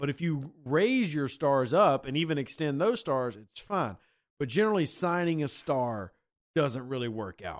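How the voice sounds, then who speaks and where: A man's fairly high, animated voice with lively intonation at a fairly slow pace, on a very clean recording with a silent background. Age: 30s. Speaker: sports podcast host. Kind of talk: casual chat.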